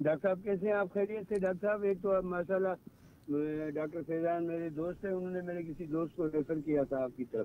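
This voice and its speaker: Hardly pausing, a man with a high pitch speaks at a moderate pace with fairly even intonation. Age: 60s. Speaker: caller. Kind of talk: phone-in question. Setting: phone call.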